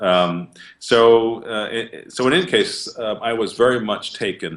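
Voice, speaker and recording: Here a man talks with a slight American accent. His pitch variation is ordinary. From upstate New York. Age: 50s. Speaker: tai chi instructor. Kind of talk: interview. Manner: halting.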